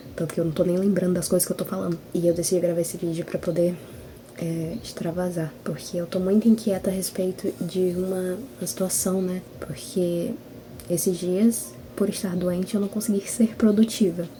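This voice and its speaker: A soft-spoken woman at a medium pitch and moderate pace, with noticeable background noise. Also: fairly even intonation. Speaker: writer and video blogger. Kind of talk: casual vlog chat.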